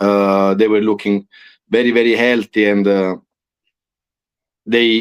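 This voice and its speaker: This man's voice sits at a fairly low pitch. His intonation is monotone and flat. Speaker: podcast host. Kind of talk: casual conversation.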